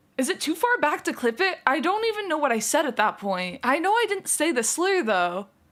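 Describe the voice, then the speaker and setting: A woman speaks in a high voice with very wide pitch swings and very even loudness. Noticeable background noise sits behind her. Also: hardly any pauses. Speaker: streamer. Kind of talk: casual live stream chat. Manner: slurred, poorly enunciated.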